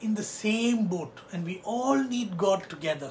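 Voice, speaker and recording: Against light background noise, a man talks in a high pitch with ordinary pitch variation. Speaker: pastor. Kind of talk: sermon. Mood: warm, earnest. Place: home room. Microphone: phone near.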